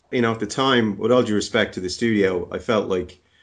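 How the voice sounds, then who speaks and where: A man with an Irish accent speaks at a very fast pace with ordinary pitch variation. The background is quiet. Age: 40s. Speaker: animation supervisor. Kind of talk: interview.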